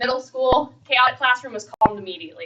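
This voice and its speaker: A woman speaks at a very fast pace. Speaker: school resource officer. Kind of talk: presentation. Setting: board meeting.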